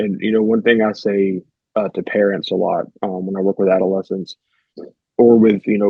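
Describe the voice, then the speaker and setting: A man with a Southern US accent, fairly low pitch, monotone and flat intonation, and a moderate pace. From US South, rural. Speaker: therapist. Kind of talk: interview conversation.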